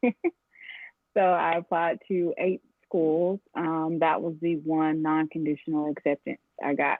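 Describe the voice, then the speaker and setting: With an American accent, a woman speaks in a plain, everyday voice at a fairly low pitch. Her intonation is fairly even. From US South, Atlanta, Georgia. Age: 20s. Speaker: physical therapist. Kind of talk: interview. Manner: casual, many filler ums.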